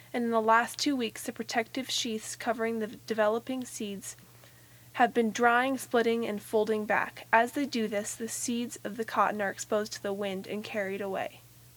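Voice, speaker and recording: This woman has an ordinary speaking voice, fairly high in pitch, and talks at a moderate pace. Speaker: nature podcast co-host. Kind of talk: nature documentary narration. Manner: gently marveling, clear explanatory delivery.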